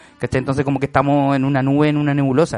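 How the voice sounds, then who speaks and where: Speaking at a very fast pace, a man has a fairly high pitch. Noticeable background noise is present. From Chile. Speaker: podcast host. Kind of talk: casual chat.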